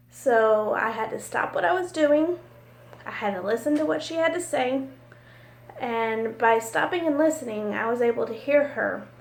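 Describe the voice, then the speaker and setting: A woman speaks loudly at a moderate pace. Her fairly high pitch swings very widely. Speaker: college business office supervisor. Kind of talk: recorded class assignment monologue.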